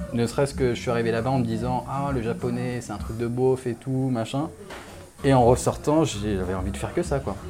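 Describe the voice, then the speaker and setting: With music playing in the background, a man speaks at a fairly quick pace. His intonation is lively. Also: medium pitch for a man. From Réunion. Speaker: tattoo artist. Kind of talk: interview. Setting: tattoo shop. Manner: halting.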